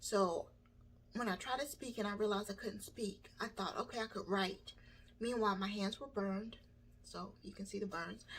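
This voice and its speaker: A woman speaks at a medium pitch in a somewhat breathy voice with fairly even intonation. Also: moderate pace. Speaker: burn survivor vlogger. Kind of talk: personal testimony. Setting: home video by a window. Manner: halting.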